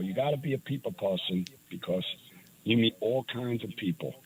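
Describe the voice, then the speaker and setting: His voice comes out somewhat breathy. The man's intonation is lively. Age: 60s. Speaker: retired landlord. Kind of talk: casual chat.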